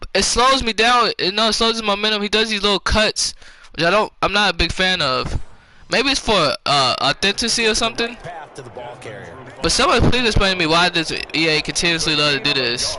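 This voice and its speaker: Over noticeable background noise, a man with a high pitch uses a raised, projected voice, lively intonation and very even loudness at a fairly quick pace. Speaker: gaming streamer. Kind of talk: gameplay commentary. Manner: halting.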